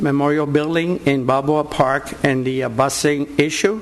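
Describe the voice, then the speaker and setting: Against noticeable background noise, a man with a Puerto Rican accent speaks at a moderate pace in a fairly high pitch with fairly even intonation. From Puerto Rico. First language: Spanish. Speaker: war veteran. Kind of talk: public comment. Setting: board meeting.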